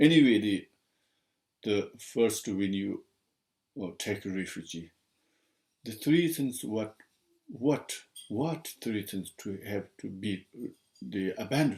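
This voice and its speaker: Speaking very slowly with long, frequent pauses, a man shows a strong non-native accent. His fairly low voice has lively intonation. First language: Tibetan. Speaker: Buddhist teacher. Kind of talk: dharma teaching. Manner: halting.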